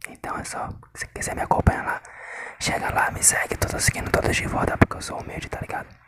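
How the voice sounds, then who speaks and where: A man whispers at a very fast pace. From northeast Brazil. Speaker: ASMR content creator. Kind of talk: whisper ASMR with tapping triggers. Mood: resigned, slightly frustrated. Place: home room. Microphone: phone near.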